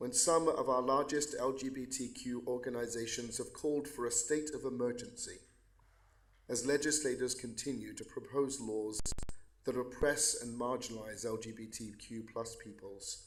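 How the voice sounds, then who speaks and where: With audible room echo, a man speaks in an English accent. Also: big swings in loudness. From England. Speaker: pastor. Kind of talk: prayer. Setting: county court meeting.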